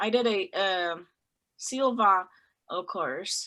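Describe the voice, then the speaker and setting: With a non-native accent, a woman speaks in a bright, sharp tone on a very clean recording with a silent background. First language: not English. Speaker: group member in online personal growth group. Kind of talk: group sharing circle. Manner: halting, many fillers.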